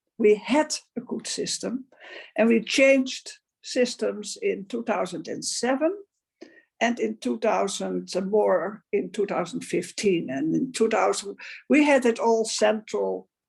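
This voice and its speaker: A woman with a Dutch accent against a quiet background. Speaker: advocate for older women. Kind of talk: panel discussion.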